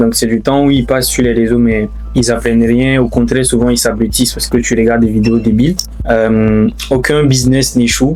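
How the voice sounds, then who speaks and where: Over music in the background, a man talks at a moderate pace with very even loudness. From Burkina Faso, Ouagadougou. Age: 20s. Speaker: engineer and investor. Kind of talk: interview testimony. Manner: hesitant, many fillers.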